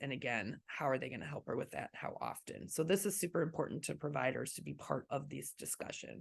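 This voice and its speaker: Vocal fry marks this woman's voice, recorded against a quiet background. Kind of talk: online training presentation.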